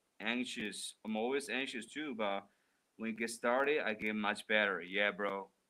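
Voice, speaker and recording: At a moderate pace, a man with a fairly low pitch and a bright, sharp tone speaks in a Mandarin accent. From China. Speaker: livestreamer. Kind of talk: live stream chat reading comments. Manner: casual, animated; halting, stuttering starts.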